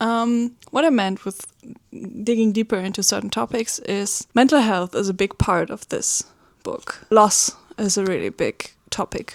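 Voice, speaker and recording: A woman with a German accent talks at a fairly slow pace and fairly high pitch, with ordinary pitch variation and a dry, close sound with no echo. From Germany. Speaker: webcomic artist. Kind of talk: casual vlog talk. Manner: hesitant, many fillers.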